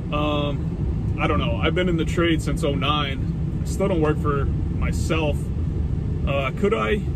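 Loud background noise fills the clip. Over it, a man speaks fairly slowly. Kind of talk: casual vlog chat. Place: car. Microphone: phone near.

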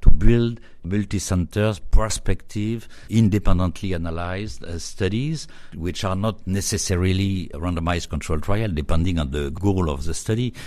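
A man with a French accent has a very deep, low pitch and a dark, mellow tone. He speaks at a moderate pace with ordinary pitch variation and big swings in loudness. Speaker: radiology professor. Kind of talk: interview. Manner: hesitant with fillers.

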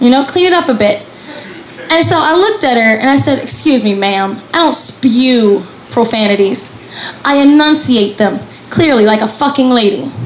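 A woman with a high pitch and lively intonation talks at a moderate pace at very even loudness, with audible room echo and noticeable background noise. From Kentucky (Appalachian mountains). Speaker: comedian. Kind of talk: stand-up. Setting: stage with audience.

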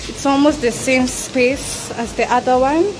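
Against noticeable background noise, a woman speaks fairly slowly at a high pitch with fairly even intonation. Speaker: apartment tour vlogger. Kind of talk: casual vlog chat. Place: empty room. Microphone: phone near.

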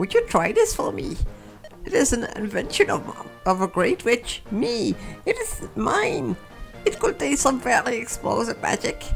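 Clear music fills the background. Someone uses a put-on character voice at a moderate pace. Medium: role play.

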